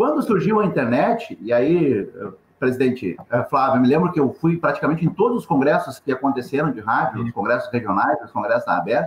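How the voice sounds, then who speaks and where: A somewhat breathy man, fairly high-pitched and fairly quick, with very wide pitch swings. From Rio Grande do Sul, Brazil. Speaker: journalist and radio news agency founder. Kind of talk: webinar panel discussion.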